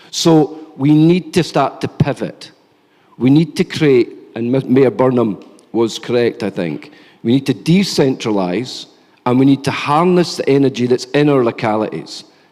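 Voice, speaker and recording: A man talks with a Scottish accent at a moderate pace. His medium-pitched voice has lively intonation. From Scotland. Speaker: think tank policy lead, panelist. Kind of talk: conference panel talk. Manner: animated.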